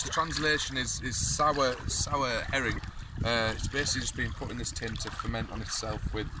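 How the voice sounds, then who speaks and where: A man with a British accent talks at a moderate pace. The sound is dry with no echo, and there is noticeable background noise. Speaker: vlogger. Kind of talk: casual vlog. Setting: outdoors by a lake. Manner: casual, rambling. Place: forest.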